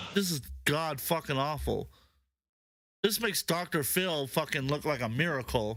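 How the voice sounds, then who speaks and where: A man with a fairly high voice speaks at a moderate pace with very even loudness, ordinary pitch variation, an animated tone, vocal fry, and long, frequent pauses. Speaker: podcast co-host. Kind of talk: casual chat. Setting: livestream. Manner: stuttering at times.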